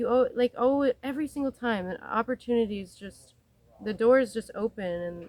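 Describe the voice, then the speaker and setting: A plain, everyday voice moves at a moderate pace with ordinary pitch variation. The loudness swings widely, and the sound is dry and close with no echo. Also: woman, fairly high pitch for a woman. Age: 20s. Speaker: traveling farm volunteer. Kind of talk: casual interview. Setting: outdoors on a farm.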